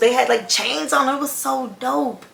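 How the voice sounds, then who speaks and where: A woman's voice over noticeable background noise. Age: 20s. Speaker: fashion designer, content creator. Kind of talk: casual storytime talk to camera. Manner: fast.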